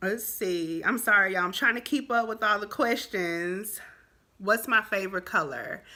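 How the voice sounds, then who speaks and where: Very clean recording with a silent background: a woman with an American accent, fairly high pitch, a bright, sharp, animated tone, ordinary pitch variation and a moderate pace. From Texas, Dallas. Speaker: vlogger. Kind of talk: casual vlog Q&A.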